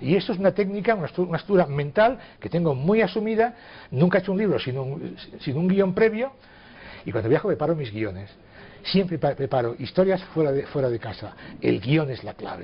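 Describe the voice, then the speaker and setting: A man's fairly high-pitched voice at a fairly quick pace, full of very wide pitch swings. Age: 60s. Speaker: writer. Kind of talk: interview.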